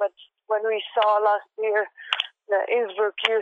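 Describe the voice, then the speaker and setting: The speaker talks at a moderate pace with a Serbian accent. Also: woman. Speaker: professional climber. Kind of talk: interview.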